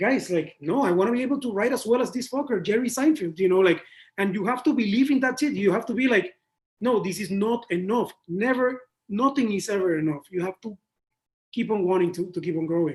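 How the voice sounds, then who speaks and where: This man's voice is high for a man and animated in tone. He talks at a fairly quick pace with lively intonation. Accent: Spanish. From Panama. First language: Spanish. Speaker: creative director. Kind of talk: interview.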